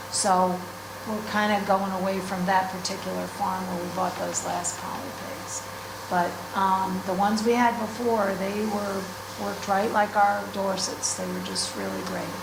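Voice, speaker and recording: The speaker, with an American accent, talks at a moderate pace in a monotone, flat intonation. Room echo is audible, and there is noticeable background noise. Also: woman, medium pitch for a woman. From US Northeast. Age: 60s. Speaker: sheep farmer. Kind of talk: class talk. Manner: casual, hesitant with fillers.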